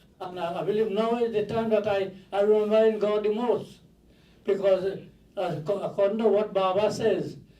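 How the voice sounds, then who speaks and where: A man with a dark, mellow tone speaks at a high pitch and a moderate pace in a monotone, flat intonation, with audible room echo. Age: 80s+. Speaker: mourner speaking at a funeral. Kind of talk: eulogy. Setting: funeral home viewing with audience. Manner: halting.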